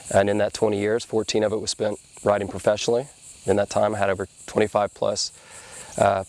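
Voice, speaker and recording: The speech is very fast and monotone, with flat intonation and an American accent. Noticeable background noise sits behind it. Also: man. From Panama City, Florida. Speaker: professional wakeboarder. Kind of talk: interview answer. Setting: outdoors.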